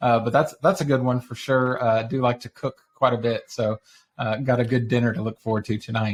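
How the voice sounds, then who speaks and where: The sound is dry and close with no echo as a man with a Texas accent speaks at medium pitch. His pace is fairly quick and his intonation fairly even. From Texas (Dallas-Fort Worth area). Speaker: online community founder. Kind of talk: podcast interview. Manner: casual.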